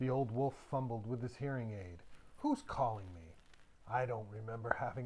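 A reading voice with a natural sound

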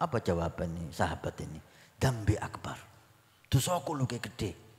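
A man's fairly low, somewhat breathy voice at a fairly quick pace, with very wide pitch swings over a quiet background. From Indonesia. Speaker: village Islamic preacher. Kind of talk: sermon. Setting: religious assembly with audience. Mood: warm, smiling. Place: hall. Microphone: handheld.

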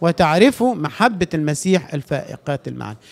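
Against a quiet background, a man talks at a fairly slow pace with ordinary pitch variation. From Egypt. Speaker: pastor. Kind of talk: sermon. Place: church.

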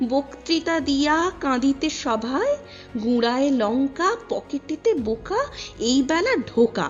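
A woman's high-pitched voice with lively intonation and very even loudness, over music in the background. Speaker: poetry reciter. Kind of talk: poetry reading.

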